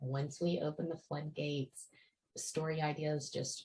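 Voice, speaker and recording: A woman speaks softly at a fairly slow pace, somewhat breathy. Her very deep, low voice stays monotone and flat. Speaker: author. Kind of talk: casual talk to camera. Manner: quiet, soft-spoken.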